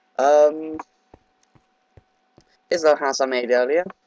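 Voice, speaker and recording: A man with a British accent talks in a dry, close sound with no echo. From Britain. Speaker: Minecraft gamer. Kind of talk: casual talk to camera. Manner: hesitant, casual.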